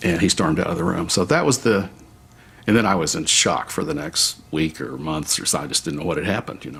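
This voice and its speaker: A man talks at a very fast pace with a very deep, low pitch. His Southwestern US accent carries lively intonation. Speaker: company co-founder interviewee. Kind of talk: documentary interview.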